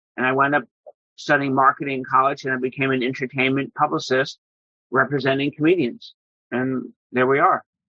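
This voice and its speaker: A man's flat, monotone delivery at medium pitch and a fairly quick pace. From New York, Long Island. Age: 60s. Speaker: entertainment publicist and comedy collector. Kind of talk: interview.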